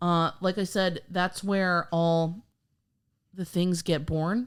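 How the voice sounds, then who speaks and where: This is a very clean recording with a silent background. A woman does the talking. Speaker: podcast host. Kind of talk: casual chat. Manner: reading script with stumbles.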